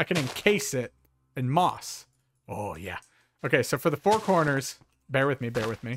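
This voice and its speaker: Music plays behind a man whose medium-pitched voice makes very wide pitch swings, broken by long, frequent pauses, in a dry, close sound with no echo. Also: moderate pace. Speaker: gaming YouTuber. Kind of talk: casual gameplay commentary. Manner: relaxed, chilled out.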